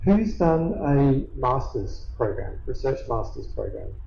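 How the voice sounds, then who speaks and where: A man speaks at a very slow pace. Audible room echo and noticeable background noise surround him. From Australia. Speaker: professor. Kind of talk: lecture.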